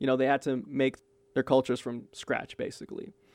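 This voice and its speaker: Over a quiet background, a man with an American accent is heard in a dry, close sound with no echo. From Brooklyn, New York. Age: 20s. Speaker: podcast host. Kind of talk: casual chat.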